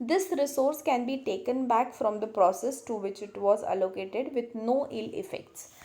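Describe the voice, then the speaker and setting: A woman speaks in a high, dark and mellow voice with very wide pitch swings, and the room echo is audible. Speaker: lecturer. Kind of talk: lecture. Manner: slow.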